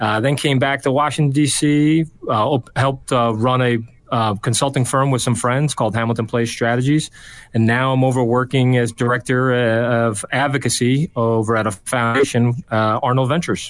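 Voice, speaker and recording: In a plain, everyday voice, a man speaks at medium pitch. His intonation is fairly even, and the background is quiet. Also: moderate pace, very even loudness. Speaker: political strategist. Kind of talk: casual chat.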